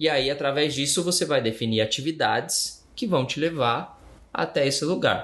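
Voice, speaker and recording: A man talks with vocal fry at a fairly high pitch. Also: ordinary pitch variation, moderate pace. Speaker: podcast co-host. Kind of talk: casual chat. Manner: giggly.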